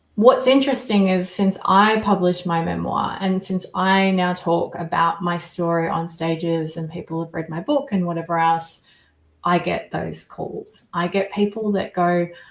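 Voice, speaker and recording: The speaker has an Australian accent and ordinary pitch variation. The pace is moderate. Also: woman, fairly low pitch for a woman. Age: 40s. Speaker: survivor coach and author. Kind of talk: interview testimony.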